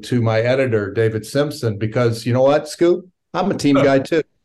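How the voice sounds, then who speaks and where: A man with an American accent at a medium pitch. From Virginia, US. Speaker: documentary film director. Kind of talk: interview answers. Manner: halting, thoughtful, filler words.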